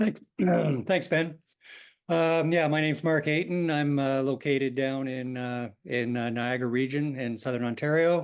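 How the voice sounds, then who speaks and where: In a normal speaking voice, a man with a Canadian accent talks at a moderate pace and a fairly high pitch, with ordinary pitch variation. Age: 60s. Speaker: pancreatic cancer patient, engineer. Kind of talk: webinar talk.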